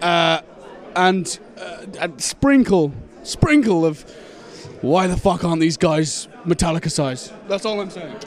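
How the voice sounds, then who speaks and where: Amid noticeable background noise, a man in a Shropshire accent speaks at a high pitch with ordinary pitch variation. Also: fairly slow pace, big swings in loudness. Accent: local Shropshire accent, mistaken for Welsh. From Shropshire, England. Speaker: heavy metal band member. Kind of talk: casual interview. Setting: music festival. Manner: animated, halting with fillers.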